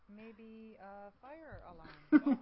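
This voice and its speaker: A woman puts on a character voice pitched high. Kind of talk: film noir detective speech. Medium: audio drama. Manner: clipped, terse.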